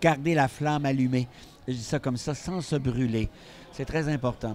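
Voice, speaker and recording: A man with a Quebec accent. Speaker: psychiatrist and speaker. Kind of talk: interview.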